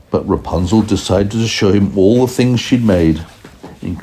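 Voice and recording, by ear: Pitch varies an ordinary amount as someone is reading aloud in a natural voice.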